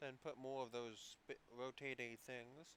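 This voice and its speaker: A man's voice at a medium pitch. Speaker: hobbyist builder. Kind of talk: tutorial. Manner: casual, halting.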